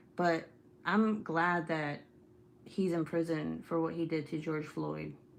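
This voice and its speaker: A woman speaks with a slight Spanish accent. Her pitch is fairly low. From California. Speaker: YouTuber. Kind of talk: casual chat. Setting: live stream. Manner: animated.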